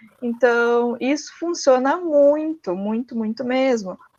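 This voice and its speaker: A woman speaks in a high voice at a fairly slow pace, her intonation fairly even. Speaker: student moderator. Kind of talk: live webinar chat. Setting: online live stream.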